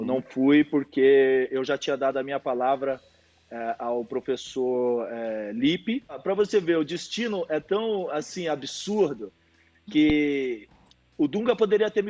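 In a normal speaking voice, a man talks at a fairly slow pace with a fairly high pitch and lively intonation. The sound is dry and close, with no echo. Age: 40s. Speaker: former footballer. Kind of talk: casual chat.

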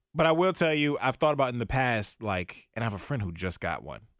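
Against a silent background in a very clean recording, a man with an American accent speaks at medium pitch with vocal fry and very wide pitch swings. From Virginia. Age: 20s. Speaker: podcast co-host. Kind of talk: casual chat.

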